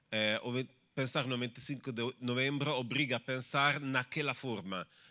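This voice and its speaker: A man's bright, sharp voice at medium pitch, fairly even in intonation and moderate in pace, on a very clean recording with a silent background. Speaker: researcher. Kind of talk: academic discussion. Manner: halting.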